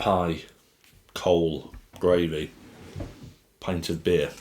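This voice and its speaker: A man's put-on character voice, guttural and very deep, in a strong northern English accent with monotone, flat intonation. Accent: thick northern English. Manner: exaggerated grunting, comic.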